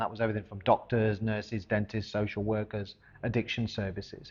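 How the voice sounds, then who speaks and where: A man with an English accent speaks at a fairly quick pace in a fairly low pitch. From central England, Coventry. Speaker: charity founder. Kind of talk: personal testimony and organisation presentation.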